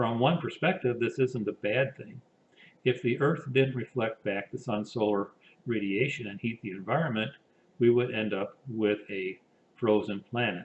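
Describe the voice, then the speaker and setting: The man's medium-pitched voice is somewhat breathy and shows ordinary pitch variation. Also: moderate pace. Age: 60s. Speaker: engineer and climate initiative director. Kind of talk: pre-recorded presentation. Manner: formal.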